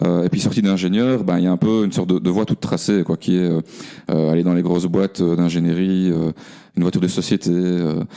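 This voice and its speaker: A man talks at a fairly quick pace with a very deep, low pitch. His tone is dark and mellow, and his intonation stays fairly even. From Belgium, Namur region. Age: 40s. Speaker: engineer and cooperative founder. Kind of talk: podcast interview. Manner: halting, many fillers.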